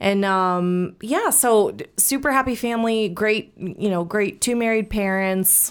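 A woman speaks with an American accent at a medium pitch in a normal speaking voice. The recording is very clean, with a silent background. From US Midwest, St. Louis, Missouri. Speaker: patient sharing mental health story. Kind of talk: personal testimony interview.

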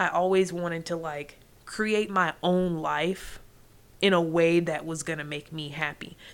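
At a fairly slow pace, a woman with an American accent talks in a fairly low, flat monotone. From US, military family. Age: 20s. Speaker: podcast host. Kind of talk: solo podcast monologue. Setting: home recording, late night. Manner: casual, conversational.

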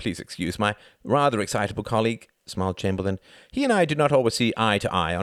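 Lively intonation in a natural reading voice

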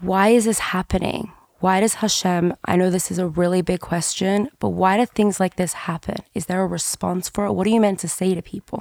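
A woman with an Australian accent speaks at a medium pitch with fairly even intonation. The sound is dry and close, with no echo. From Sydney, Australia. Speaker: podcast host and history teacher. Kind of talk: interview questions, emotional conversation. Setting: in person, sitting across from the guest.

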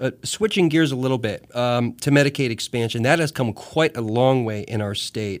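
In a normal speaking voice, a man of medium pitch talks at a moderate pace with ordinary pitch variation. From US Northeast. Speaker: radio host. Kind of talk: radio interview. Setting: radio studio.

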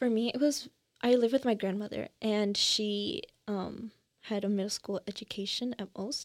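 A woman with an ordinary speaking voice and an American accent talks at a moderate pace with a fairly high pitch and ordinary pitch variation, in a very clean, dry, close recording with no echo and a silent background. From US Midwest, Chicago suburbs. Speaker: college student, podcast co-host. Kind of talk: casual chat.

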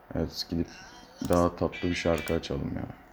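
A man at a moderate pace, very deep and low in pitch, in a flat monotone, with noticeable background noise. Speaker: solo podcaster. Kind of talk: casual solo monologue. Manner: rambling, hesitant with fillers. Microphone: poor sound quality, no proper equipment.

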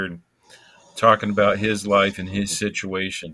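On a very clean recording with a silent background, a man with a fairly low pitch and a bright, sharp tone talks at a moderate pace. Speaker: co-host, spinal cord injury. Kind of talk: casual talk show.

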